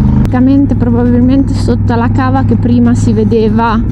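A woman at a moderate pace amid loud background noise. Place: motorbike. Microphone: helmet.

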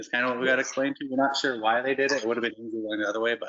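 Against a quiet background, a man is talking. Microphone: video call.

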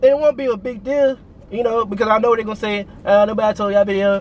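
Against light background noise, a man talks at a very fast pace in a high pitch with ordinary pitch variation, the sound dry with no echo. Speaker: vlogger. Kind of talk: casual vlog chat. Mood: annoyed, venting. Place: car. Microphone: phone near.

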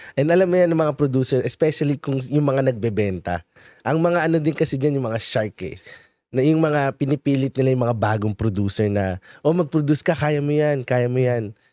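Over a quiet background with a dry sound with no echo, a man with a dark, mellow tone talks at a fairly quick pace with lively intonation. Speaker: show host and media producer; show host. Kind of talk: casual chat. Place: studio. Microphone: studio mic.

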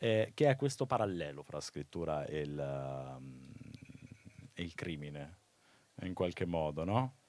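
A man's lively intonation in a dry sound with no echo. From Umbria, Italy (Perugia); Umbria. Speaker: moderator and teacher; moderator, teacher. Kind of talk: live talk interview. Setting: festival stage with audience. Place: open country. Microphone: handheld.

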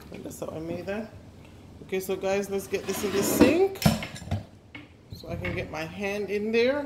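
A woman speaks at a moderate pace with a medium pitch, ordinary pitch variation and a slightly mellow tone over faint background noise.

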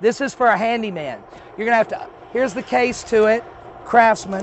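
This man's voice sits high in pitch and sounds animated, with light background noise and a dry sound that has no echo. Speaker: auctioneer. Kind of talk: sales pitch. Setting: warehouse, outdoors in sun. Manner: animated, chatty, salesman patter. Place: street.

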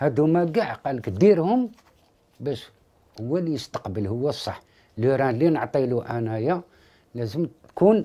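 At a moderate pace, a man with an Algerian accent speaks in a dark, mellow tone, his pitch swinging very widely between long, frequent pauses. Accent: Algerian Arabic with French loanwords. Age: 50s. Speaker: father of a sick child. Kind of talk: interview testimony. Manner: halting. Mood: worried, pleading for help. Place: home room.

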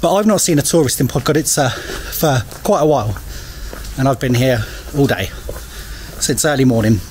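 A man speaks at a moderate pace and medium pitch with a slightly mellow tone. His pitch varies in an ordinary way over faint background noise.

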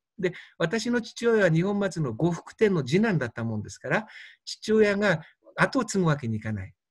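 On a very clean recording with a silent background, a man with a high pitch talks at a moderate pace, his loudness swinging widely. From Fukushima, Japan. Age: 60s. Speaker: doctor. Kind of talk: lecture.

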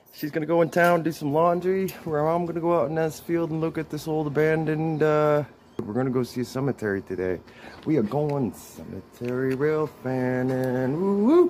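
The pace is moderate, with ordinary pitch variation. Light background noise is present. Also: man. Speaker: travel vlogger. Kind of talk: casual vlog chat. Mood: cheerful, relaxed. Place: street. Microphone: phone near.

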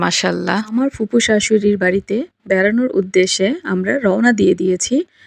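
A woman is speaking. Her pitch is medium, with fairly even intonation. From Bangladesh, Dhaka. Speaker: vlogger. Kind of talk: vlog narration.

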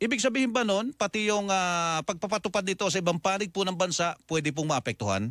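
Talking at a very fast pace with hardly any pauses, a man with a high pitch and lively intonation keeps his loudness very even, in a very clean recording with a silent background and a dry, close sound with no echo. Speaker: radio host. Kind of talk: broadcast interview.

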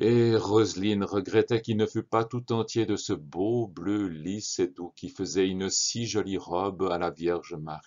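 With a plain, everyday voice, a man at a fairly low pitch and ordinary pitch variation talks at a fairly slow pace with hardly any pauses. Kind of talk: audiobook narration of a children's story. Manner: calm, measured storyteller's delivery.

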